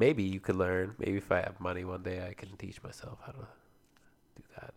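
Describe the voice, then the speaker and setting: With a Canadian accent, a man speaks in a very deep, low pitch marked by vocal fry. His intonation is lively, and the recording is very clean with a silent background. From Canada (Alberta, Ontario). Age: 20s. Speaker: podcast co-host. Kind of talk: casual chat.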